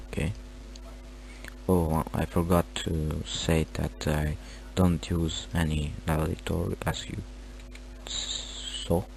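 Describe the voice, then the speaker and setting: A man's very deep, low voice with vocal fry, very wide pitch swings, a very slow pace and long, frequent pauses. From Romania. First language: Romanian. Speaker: gaming tutorial creator. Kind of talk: tutorial. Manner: halting.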